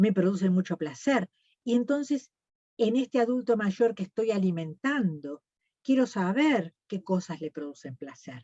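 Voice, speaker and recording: This woman talks at a fairly slow pace with a medium pitch and a somewhat breathy quality. Her pitch swings very widely. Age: 70s. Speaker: nutritionist. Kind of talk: lecture.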